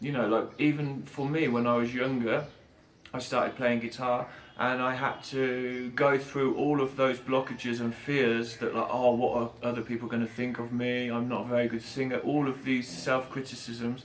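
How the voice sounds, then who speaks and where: In an English accent, a man with a medium-pitched voice speaks at a moderate pace with a monotone, flat intonation. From England. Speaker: street musician. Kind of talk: interview answer. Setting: outdoors.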